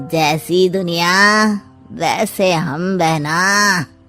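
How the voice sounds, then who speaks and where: Over faint music in the background, a woman does a cartoonish character voice at a fairly low pitch with fairly even intonation. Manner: sly, sarcastic.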